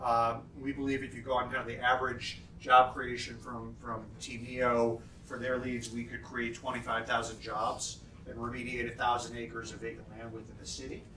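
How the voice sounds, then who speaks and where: In a room with audible echo and noticeable background noise, a man talks at a medium pitch in a flat monotone while his loudness swings widely. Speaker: city development official. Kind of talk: lunchtime keynote talk. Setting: conference lunch with audience. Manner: fast; many fillers and repeated words.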